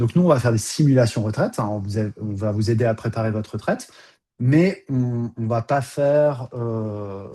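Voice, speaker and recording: This man's dark, mellow voice sits at medium pitch, moving at a moderate pace with ordinary pitch variation. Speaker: financial advisor. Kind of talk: webinar presentation. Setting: video call. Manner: hesitant with many fillers.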